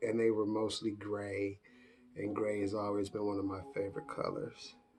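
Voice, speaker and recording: A man with an American accent, fairly low pitch, monotone and flat at a moderate pace, noticeable background noise. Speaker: YouTuber. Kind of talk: casual Q&A vlog. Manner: casual, halting with fillers.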